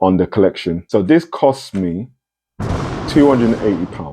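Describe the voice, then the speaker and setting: A man with a British accent, fairly low in pitch, with a dark, mellow tone, ordinary pitch variation and a moderate pace. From UK. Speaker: sneaker reviewer. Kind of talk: casual unboxing review. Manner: casual, self-correcting.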